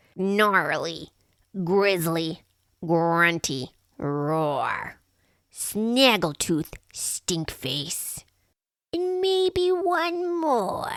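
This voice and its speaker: A put-on character voice, female-sounding and shrill at medium pitch, speaks at a very slow pace with long, frequent pauses. The recording is very clean, with a silent background. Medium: read story. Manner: bossy, snappish.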